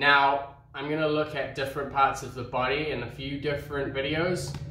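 Moderate-paced speech from a man, room echo audible. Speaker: table tennis coach. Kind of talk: tutorial. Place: home room.

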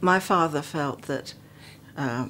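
A woman with an English accent talks over light background noise. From England (West Midlands); England. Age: 70s. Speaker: retiree recounting her life story; interviewee. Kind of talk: memoir narration over photos. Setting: home. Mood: reflective, warm reminiscing. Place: home room.

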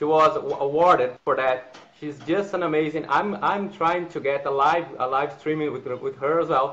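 A Portuguese accent comes through in the speech. Light background noise can be heard. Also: man. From Brazil. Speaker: trade school trainer and interpreter. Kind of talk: live stream chat and interpreting. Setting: video call. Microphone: video call.

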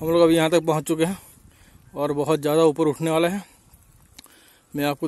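A man speaks in a monotone, flat intonation at a fairly slow pace, with a dry sound with no echo. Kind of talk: casual vlog commentary. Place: open country. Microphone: phone near.

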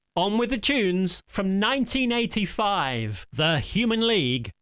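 A man with a high pitch speaks in an upbeat tone. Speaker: hospital radio engineer. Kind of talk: demo walkthrough with sample radio DJ links. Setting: screen recording walkthrough. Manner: upbeat, chirpy DJ patter in the sample links.

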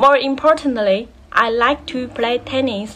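A woman speaks with a Chinese accent in a high pitch. She goes at a very slow pace, with fairly even intonation. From China, Anhui province. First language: Mandarin Chinese. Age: 20s. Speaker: graduate student. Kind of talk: recorded self-introduction assignment. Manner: halting, many fillers. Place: home room. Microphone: phone near.

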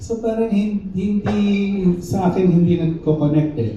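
A man, with noticeable background noise and audible room echo. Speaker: band member at press conference. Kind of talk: press conference Q&A.

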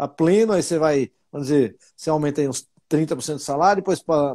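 A man's dark, mellow tone at a moderate pace. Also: quiet background. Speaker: technology park president and finance professor; finance professor. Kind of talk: interview; interview answer. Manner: halting. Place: home room. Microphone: earbuds.

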